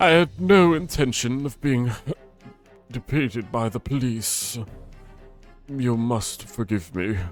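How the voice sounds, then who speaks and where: A man puts on a character voice with a medium pitch and lively intonation. He goes at a fairly slow pace with long, frequent pauses, faint music in the background. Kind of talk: fancy, posh.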